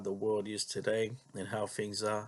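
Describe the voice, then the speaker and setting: A man with an Australian accent, fairly low pitch and a moderate pace, over a quiet background. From Australia, Melbourne western suburbs. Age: 40s. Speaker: vlogger. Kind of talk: personal monologue. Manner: halting, many fillers and repetitions.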